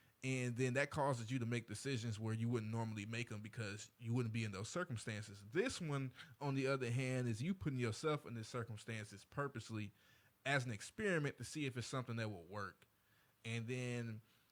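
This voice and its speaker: The speaker is a man with a medium pitch and ordinary pitch variation. He moves at a fairly quick pace. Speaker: podcast host. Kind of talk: casual chat. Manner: reserved.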